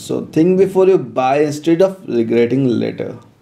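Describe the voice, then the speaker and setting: Speaking at a moderate pace with an Indian accent, a man with a fairly high pitch and a dark, mellow tone uses lively intonation. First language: Hindi. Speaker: tech reviewer. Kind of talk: product review.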